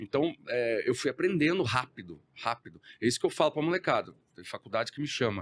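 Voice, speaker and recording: A man speaks with lively intonation and big swings in loudness, his fairly high voice carrying some vocal fry in a dry, close recording with no echo. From Brazil, countryside (interior). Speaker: entrepreneur. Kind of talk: podcast interview.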